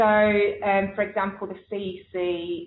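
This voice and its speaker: The speaker is a woman with an English accent. Her voice sits at a medium pitch. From England. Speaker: nurse educator. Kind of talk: webinar Q&A. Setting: online webinar.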